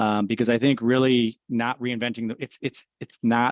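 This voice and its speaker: Flat, monotone intonation comes through in a dry, close sound with no echo. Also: man. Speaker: nonprofit leader. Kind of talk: conference presentation. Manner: fast.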